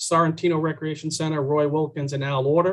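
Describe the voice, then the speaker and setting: Intonation remains fairly even. The man keeps a fairly quick pace. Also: quiet background. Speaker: presenter. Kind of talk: presentation briefing. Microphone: video call.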